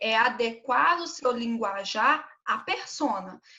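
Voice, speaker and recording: A woman talks with lively intonation. Her pitch is high. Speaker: teacher. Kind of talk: online class lecture. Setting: live stream.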